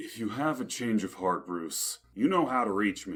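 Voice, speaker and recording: Putting on a character voice, a man at a medium pitch speaks at a moderate pace with very wide pitch swings. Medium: audio drama. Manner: gruff, earnest.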